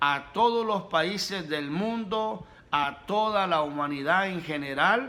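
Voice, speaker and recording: A man speaks in a raised, projected voice, high in pitch with a bright, sharp tone. His pace is very slow, and his pitch varies in an ordinary way. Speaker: pastor, preacher. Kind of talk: sermon, preaching.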